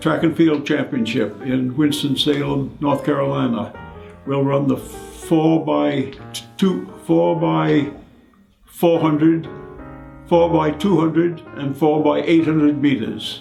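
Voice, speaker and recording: Music in the background behind a man at a fairly high pitch, with ordinary pitch variation and a very slow pace. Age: 80s+. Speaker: masters runner and race organiser. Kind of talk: interview answer. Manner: hesitant, with frequent fillers.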